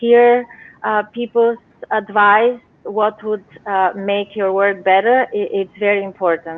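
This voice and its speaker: A Bulgarian accent with fairly even intonation. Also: woman. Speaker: novelist. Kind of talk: interview. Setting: live video show. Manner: hesitant, many fillers.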